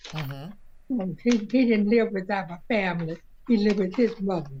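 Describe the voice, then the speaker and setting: Speaking with an American accent, a woman talks at a fairly slow pace in a somewhat breathy voice. Her intonation is lively. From Southern US. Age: 80s+. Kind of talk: interview answer.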